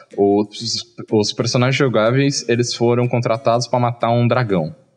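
Male speech at a medium pitch, with clear background noise behind it. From Brazil, small interior town. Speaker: game designer. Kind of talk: casual interview chat. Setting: live video stream.

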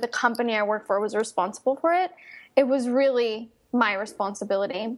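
Using a normal speaking voice, a woman talks at a moderate pace with a fairly high pitch. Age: 30s. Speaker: business mentor for coaches. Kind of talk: interview.

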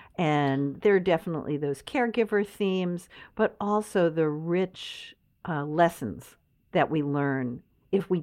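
The voice is a normal speaking voice with lively intonation. The background is quiet. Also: woman. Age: 60s. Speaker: novelist and podcaster. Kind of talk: casual chat.

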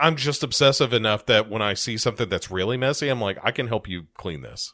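Bright, sharp tone from a man with an American accent, on a very clean recording with a silent background. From United States. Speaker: podcast co-host, teacher. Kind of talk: casual chat.

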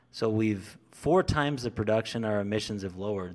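On a very clean recording with a silent background, a man with an American accent speaks in a plain, everyday voice at medium pitch with ordinary pitch variation. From southern Idaho. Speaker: co-founder of an industry advocacy group. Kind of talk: interview.

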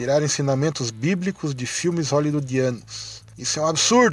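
This man has a normal speaking voice, pitched fairly high, and he talks at a moderate pace with ordinary pitch variation. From Santa Catarina, Brazil. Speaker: listener sending a voice message. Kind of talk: recorded testimony.

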